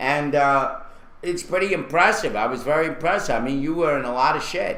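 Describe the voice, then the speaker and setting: The speech comes at a moderate pace. Audible room echo and noticeable background noise surround it. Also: man. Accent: Brooklyn. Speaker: online talk show host. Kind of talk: casual chat. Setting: live video stream.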